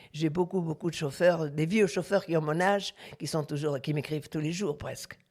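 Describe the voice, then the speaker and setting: A woman with a very deep, low pitch speaks with vocal fry and fairly even intonation. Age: 80s+. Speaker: retired truck driver. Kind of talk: interview. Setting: at home. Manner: halting, with many repetitions.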